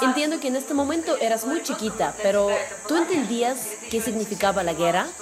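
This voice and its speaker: Her pitch swings very widely. The woman is heard with audible room echo and noticeable background noise. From Russia. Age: 80s+. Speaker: war survivor. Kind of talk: testimony.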